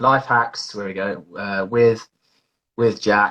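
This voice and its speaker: The tone of this man's voice is bright and sharp, with a British accent. The background is quiet. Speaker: mindset life coach. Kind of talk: casual interview on live stream. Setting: Instagram live video. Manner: energetic.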